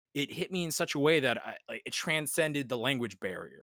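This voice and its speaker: The man's tone is bright and sharp, with ordinary pitch variation, a moderate pace and a dry, close sound with no echo. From Cuban heritage. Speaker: podcast panelist, music fan. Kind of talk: casual chat. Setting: remote call during quarantine.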